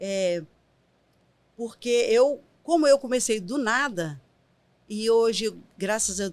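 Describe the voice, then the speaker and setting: A woman at a very slow pace, fairly high in pitch, with lively intonation and long, frequent pauses. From Brazil, Minas Gerais (Caratinga). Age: 50s. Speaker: writer and nonprofit program director. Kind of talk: podcast interview.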